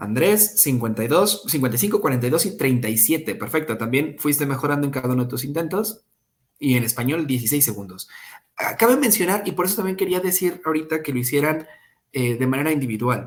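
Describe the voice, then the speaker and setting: Very fast and lively, a man speaks at a fairly high pitch with a somewhat breathy sound. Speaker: English teacher. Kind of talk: online class.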